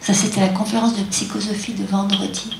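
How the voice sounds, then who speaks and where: Through noticeable background noise and audible room echo, a woman speaks at a medium pitch with ordinary pitch variation. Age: 60s. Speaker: doctor and qigong teacher. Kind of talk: lecture. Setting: stage with audience.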